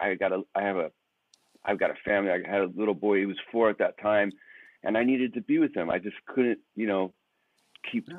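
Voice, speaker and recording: Speaking at a fairly quick pace, a man with an American accent has an unremarkable speaking voice and a fairly low pitch. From United States. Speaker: rock lead guitarist. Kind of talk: casual interview. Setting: hotel room, remote call.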